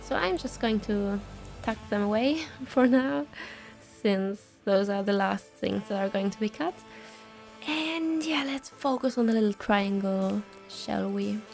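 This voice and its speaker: Music plays behind a woman speaking at a medium pitch and a fairly slow pace, her intonation lively and her pauses long and frequent. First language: non-native English speaker. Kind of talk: casual vlog voiceover. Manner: casual, hesitant.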